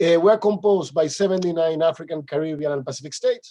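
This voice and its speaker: A man with a non-native accent, high in pitch with a dark, mellow tone, ordinary pitch variation and a fairly quick pace. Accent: noticeable non-native English. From Dominican Republic. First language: Spanish. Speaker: international organization official. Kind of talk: conference presentation. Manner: halting.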